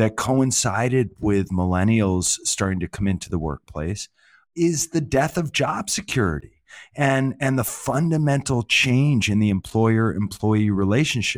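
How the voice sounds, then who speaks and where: A man with an American accent speaks in a normal speaking voice at medium pitch, with lively intonation and a moderate pace, on a very clean recording with a silent background. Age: 50s. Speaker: management consultant and author. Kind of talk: interview.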